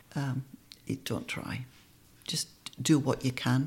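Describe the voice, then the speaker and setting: The voice has vocal fry and comes with an Australian accent. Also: woman. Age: 60s. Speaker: breast cancer survivor. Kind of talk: interview, personal story. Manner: witty.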